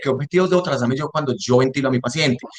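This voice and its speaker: At a very fast pace, a man talks in a fairly high-pitched voice. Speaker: respiratory therapist in intensive care. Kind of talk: lecture.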